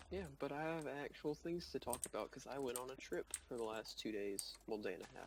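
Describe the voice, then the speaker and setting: A man talks with a Southern US accent at a fairly quick pace. He leaves hardly any pauses. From US South. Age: young. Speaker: student gamer. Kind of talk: casual chat.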